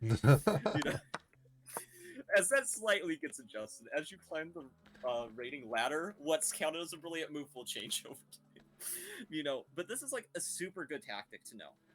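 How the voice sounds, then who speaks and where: A man with a fairly high voice speaks with very wide pitch swings and big swings in loudness while music plays in the background. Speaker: chess streamer. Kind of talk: chess coaching session. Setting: live stream. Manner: fast.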